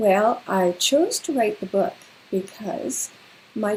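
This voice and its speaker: A woman with a Canadian accent speaks at a medium pitch, somewhat breathy and with lively intonation. Her pace is very slow. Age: 60s. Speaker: children's author and retired teacher. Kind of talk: livestream Q&A for children. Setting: livestream. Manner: friendly, conversational with fillers.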